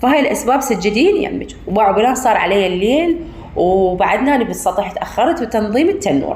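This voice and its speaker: A woman with an Iraqi accent, very wide pitch swings and a fairly quick pace, amid audible room echo and noticeable background noise. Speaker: home cooking vlogger. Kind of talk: casual tutorial. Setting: rooftop at night.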